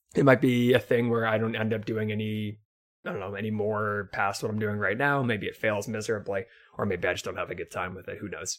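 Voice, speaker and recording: A fairly quick pace in a very clean recording with a silent background. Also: man, fairly low pitch for a man, fairly even intonation. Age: 20s. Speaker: anime podcaster and live streamer. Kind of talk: casual solo monologue. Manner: hesitant with frequent fillers.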